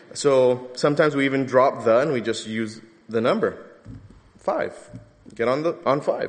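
A man with a Californian accent speaks at a moderate pace with ordinary pitch variation and long, frequent pauses. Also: medium pitch for a man. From Southern California. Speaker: pastor. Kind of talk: sermon.

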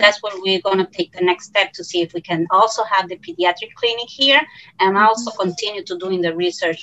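At a fairly quick pace, a woman speaks at a medium pitch with ordinary pitch variation. Her loudness swings widely. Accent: Puerto Rican. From Puerto Rico. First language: Spanish. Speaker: pediatrician and principal investigator. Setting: video call.

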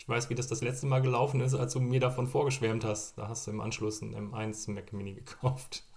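A man speaks fairly quickly with hardly any pauses, in a somewhat breathy, medium-pitched, monotone, flat intonation. His loudness swings widely, and audible room echo surrounds him. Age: 30s. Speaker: tech podcast co-host, former Apple retail specialist. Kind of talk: casual chat.

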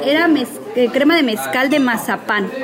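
A woman with a high pitch speaks at a fairly slow pace with lively intonation. Audible room echo and crowd noise fill the background. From Mexico (Veracruz, Puebla, Mexico City). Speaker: restaurant and catering entrepreneur. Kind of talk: casual interview. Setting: restaurant.

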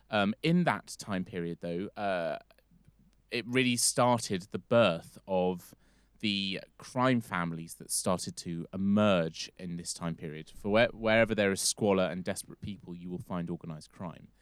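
A man's very deep, low voice with big swings in loudness, dry and close with no echo, on a very clean recording with a silent background. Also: ordinary pitch variation, moderate pace. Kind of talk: casual chat with storytelling.

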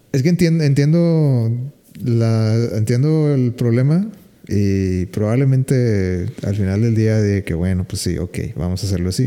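Speaking with a Mexican accent, a man uses lively intonation at a medium pitch. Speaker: podcast host. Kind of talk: casual chat.

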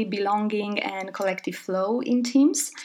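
Noticeable background noise sits behind a woman talking at a moderate pace with ordinary pitch variation. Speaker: podcast host. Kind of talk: casual chat.

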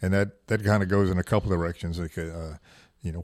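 Recorded very cleanly against a silent background, a man with an American accent speaks at a very deep, low pitch in a monotone, flat intonation. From US South. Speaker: podcast host. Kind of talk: casual chat.

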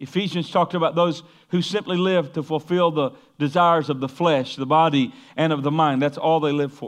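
Talking at a fairly quick pace, a man with an ordinary speaking voice keeps a fairly high pitch and fairly even intonation. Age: 50s. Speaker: pastor. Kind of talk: sermon.

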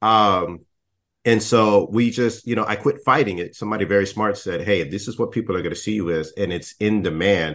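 At a fairly quick pace, a man with an unremarkable speaking voice and an American accent talks in a fairly low pitch with ordinary pitch variation against a quiet background. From Texas. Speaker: diversity and inclusion consultant. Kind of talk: casual interview.

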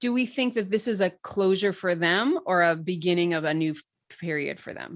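In an American accent, the speaker goes at a moderate pace with ordinary pitch variation against a quiet background. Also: woman, medium pitch for a woman. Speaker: podcast host. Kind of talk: casual chat about TV episode.

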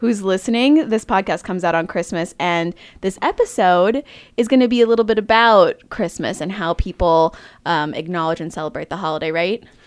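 A woman speaks at a medium pitch and a fairly quick pace against a quiet background. She has a normal speaking voice. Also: ordinary pitch variation. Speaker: podcast co-host. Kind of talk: casual chat.

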